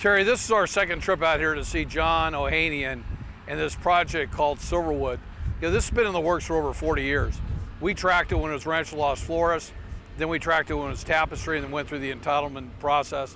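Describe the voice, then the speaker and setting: Clear background noise fills the recording. A man's speech races by very fast. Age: 60s. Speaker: local TV show co-host. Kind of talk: on-location report to camera. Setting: outdoors at construction site. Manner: repetitive, halting.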